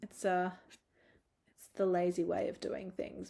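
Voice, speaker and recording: This woman's voice has a dark, mellow tone on a very clean recording with a silent background. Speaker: photographer and preset creator. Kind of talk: screen-recorded editing tutorial. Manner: casual, chatty.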